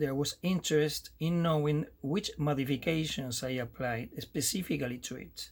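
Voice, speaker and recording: A somewhat breathy man speaks at a moderate pace with a fairly high pitch and ordinary pitch variation, on a very clean recording with a silent background. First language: Spanish. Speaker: amateur radio operator. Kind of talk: tutorial. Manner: halting.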